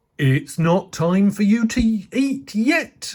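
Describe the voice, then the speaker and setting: A put-on character voice, fairly high in pitch, at a very slow pace. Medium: read story.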